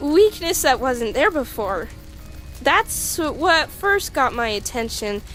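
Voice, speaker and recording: Clear music plays behind a put-on character voice that sounds female. The voice is high-pitched for a woman and moves at a fairly slow pace. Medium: dub. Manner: hesitant, stammering.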